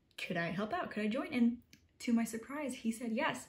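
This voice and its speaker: The speaker has an animated tone, an American accent and a somewhat breathy sound. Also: woman. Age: 20s. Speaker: college student vlogger. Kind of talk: casual vlog talk. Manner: fast.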